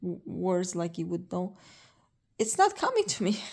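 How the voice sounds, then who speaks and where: A woman speaks with a slight non-native accent in a very clean recording with a silent background. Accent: slight foreign. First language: not English. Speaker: vlogger, cancer patient. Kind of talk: casual vlog. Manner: slow, word-searching; halting.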